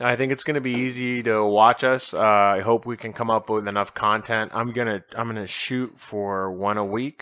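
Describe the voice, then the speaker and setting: Hardly pausing, a man speaks at a moderate pace in a bright, sharp tone, with a medium pitch and fairly even intonation. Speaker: podcast host. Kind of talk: casual chat. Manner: low energy. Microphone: new mic.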